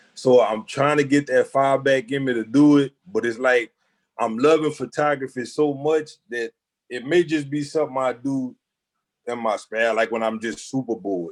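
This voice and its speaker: Over a silent background on a very clean recording, a man talks at a moderate pace and medium pitch with ordinary pitch variation. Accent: Louisiana. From Louisiana, Jennings. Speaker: photographer. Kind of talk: interview. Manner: halting, many fillers.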